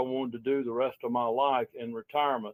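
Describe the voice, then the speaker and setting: With a Southern US accent, a man speaks at a medium pitch and moderate pace. His intonation is flat and monotone. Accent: Southern US (Georgia). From Georgia, US. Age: 70s. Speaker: local political candidate, retired business owner. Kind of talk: interview. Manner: halting, with many fillers.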